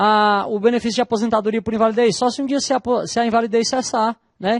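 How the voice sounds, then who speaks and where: A man with a northeastern Brazilian accent speaks at an extremely high pitch, his voice dry and close with no echo against a quiet background. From Northeast Brazil. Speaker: law professor. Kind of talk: lecture.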